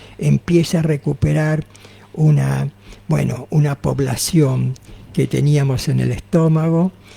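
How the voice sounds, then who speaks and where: A man talks at a very slow pace. The sound is dry and close with no echo, though background noise is noticeable. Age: 80s+. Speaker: naturopath. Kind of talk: radio interview.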